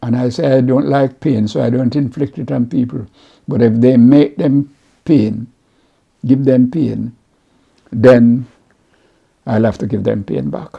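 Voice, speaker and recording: A man's medium-pitched voice with a dark, mellow tone and a strong Jamaican accent, at a fairly slow pace, with ordinary pitch variation and long, frequent pauses. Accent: Jamaican, kept strong after sixty years. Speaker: community mentor and mental health advocate. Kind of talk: interview. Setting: at home, recorded on camera. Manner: halting, repetitive.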